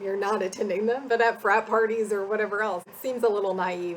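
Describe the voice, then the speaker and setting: A woman speaks at a medium pitch with a Midwestern US accent. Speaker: academic advisor. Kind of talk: casual chat. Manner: informal, many fillers.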